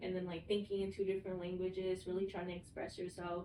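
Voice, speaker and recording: A woman's very fast, monotone speech with flat intonation over noticeable background noise. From US, Vietnamese immigrant family. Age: 20s. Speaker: mental health professional, podcast co-host. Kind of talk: casual chat. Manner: casual, filler-heavy.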